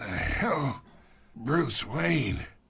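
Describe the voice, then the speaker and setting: Putting on a character voice, a raspy man at medium pitch makes very wide pitch swings. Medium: machinima. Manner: gravelly, taunting.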